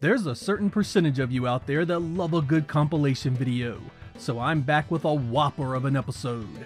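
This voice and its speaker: Over music in the background, a man with a Mid-Atlantic accent talks at a fairly quick pace, his fairly high pitch carried by lively intonation. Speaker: retro game reviewer. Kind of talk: scripted video game review narration.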